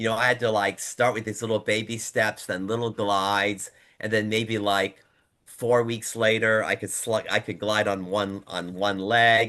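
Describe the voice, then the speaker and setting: Against a quiet background, a man with a fairly low voice and a bright, sharp tone speaks in a monotone, flat intonation. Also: moderate pace. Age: 70s. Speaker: adult figure skater. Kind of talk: casual chat. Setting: video call.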